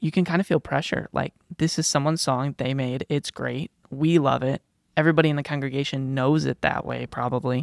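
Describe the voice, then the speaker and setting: In an American accent, the speaker goes at a fairly quick pace on a very clean recording with a silent background. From Chicago. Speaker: podcast co-host. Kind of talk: casual chat.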